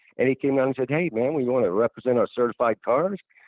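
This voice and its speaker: A man's voice with lively intonation. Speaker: retired professional wrestler. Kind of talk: interview answer. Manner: casual, conversational.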